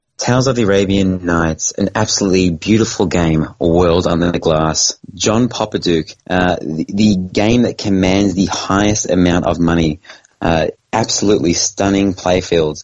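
With an Australian accent, a man talks at a moderate pace in a very deep, low pitch, his intonation fairly even and his loudness very even. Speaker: pinball podcast co-host. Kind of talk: casual chat.

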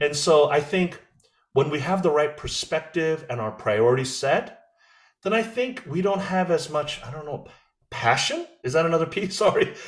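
A man with an American accent speaks at a moderate pace, in a fairly high pitch with lively intonation. He has an unremarkable speaking voice. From USA (Korean American). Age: 50s. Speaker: president of an evangelical ministry organization. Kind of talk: interview conversation.

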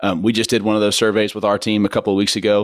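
Someone with an American accent speaks at a very fast pace. The recording is very clean with a silent background. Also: man. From Kansas, Wichita. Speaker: church ministry leader. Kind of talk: casual chat.

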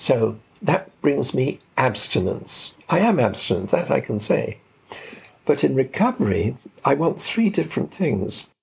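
A fairly high male voice at a fairly slow pace, with very wide pitch swings. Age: 80s+. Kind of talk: interview.

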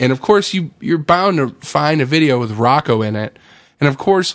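A man with an ordinary speaking voice talks at a fairly quick pace with lively intonation, captured in a very clean recording against a silent background. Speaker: band member and podcast co-host. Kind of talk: radio dj patter, mock-announcer banter.

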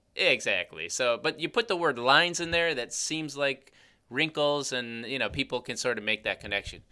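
Speaking with a Chicago accent, a man has a bright, sharp tone and lively intonation at a moderate pace. The recording is very clean, with a silent background. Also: fairly high pitch for a man. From US Midwest, Chicago. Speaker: podcast host, cosmetic chemist. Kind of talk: casual chat.

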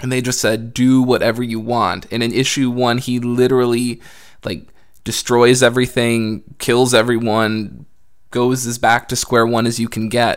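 At a moderate pace, a man speaks in a medium pitch with monotone, flat intonation. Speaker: podcast guest. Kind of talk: casual chat.

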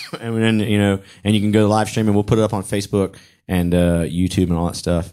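Speaking at a very fast pace, a man with a Southern US accent has a fairly low pitch and a dark, mellow tone. The recording is very clean, with a silent background. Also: fairly even intonation. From US South, Charlotte, North Carolina. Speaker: stand-up comedian and co-host. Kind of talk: casual chat. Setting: studio.

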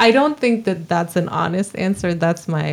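Over noticeable background noise, a woman with an American accent speaks at a fairly quick pace with ordinary pitch variation. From eastern Montana. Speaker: freelance illustrator. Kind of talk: casual interview chat.

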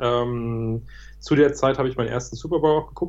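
A man is speaking. The background is quiet. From Berlin, Germany. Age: 30s. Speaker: startup founder. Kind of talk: interview. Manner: hesitant, many fillers.

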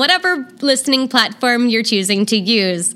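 In a raised, projected voice, someone talks at a moderate pace with lively intonation. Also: woman. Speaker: podcast host and legal sex worker. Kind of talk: casual chat.

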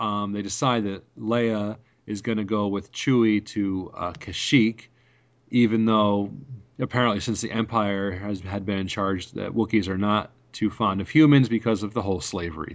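A man's plain, everyday voice, fairly low-pitched, fairly even in intonation, at a moderate pace. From New York. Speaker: podcast host. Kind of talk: casual chat.

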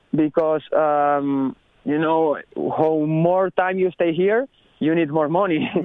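A man with a Spanish accent speaks at a very slow pace and fairly high pitch. His pitch variation is ordinary and his loudness very even. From Spain, Barcelona. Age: 30s. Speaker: professional motocross racer. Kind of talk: casual interview. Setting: phone call. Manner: halting, non-native phrasing.

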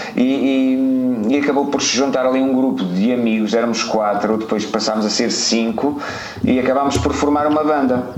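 A man with a European Portuguese accent keeps his loudness very even and his intonation fairly even. Audible room echo and noticeable background noise fill the recording. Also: medium pitch for a man, moderate pace. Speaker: podcast co-host. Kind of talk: casual chat.

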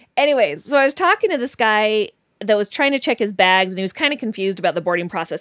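A woman with a plain, everyday voice and fairly high pitch talks with lively intonation, recorded dry and close with no echo, very clean against a silent background. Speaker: dating podcast host. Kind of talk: casual chat. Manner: laughs often.

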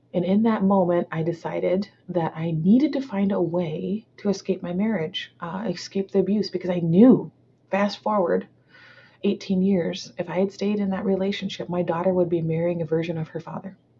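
A woman speaks at medium pitch, somewhat breathy. Her intonation is fairly even and her pace moderate. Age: 40s. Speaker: entrepreneur and speaker. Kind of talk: interview testimony. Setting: call.

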